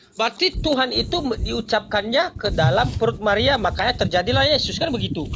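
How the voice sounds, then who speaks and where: Speaking with hardly any pauses, a man uses an extremely high pitch and very wide pitch swings against noticeable background noise. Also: fairly quick pace. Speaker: religious debater. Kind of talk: religious debate. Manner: calm.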